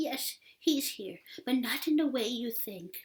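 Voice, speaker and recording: A woman's hoarse whisper in a put-on character voice, gentle in tone, at a fairly slow pace. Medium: read story. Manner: gentle, tender.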